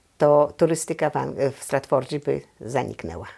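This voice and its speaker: In a quiet background, a woman speaks with a very deep, low pitch and vocal fry. Her pace is moderate. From Poland, Złotów district. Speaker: Polish community association president. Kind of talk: oral history interview answer. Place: home room. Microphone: lapel.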